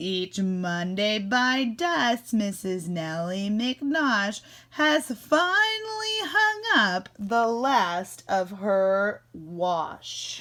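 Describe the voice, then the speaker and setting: A woman talks at medium pitch and a very slow pace. She leaves hardly any pauses. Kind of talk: classroom read-aloud. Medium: read story. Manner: warm, animated.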